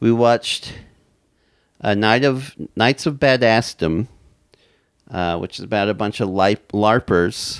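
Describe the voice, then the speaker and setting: Speaking with an American accent, a man uses a medium pitch with ordinary variation at a fairly slow pace. Long, frequent pauses break up his speech, and the sound is dry and close with no echo. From Utah, US (Orem, Utah Valley). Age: 30s. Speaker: stand-up comedian. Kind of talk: casual chat. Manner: halting, frequent repetitions and fillers.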